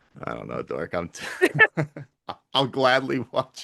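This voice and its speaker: The tone is bright and sharp. This man keeps to a moderate pace. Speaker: podcast host and gamer. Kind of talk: casual chat. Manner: loud.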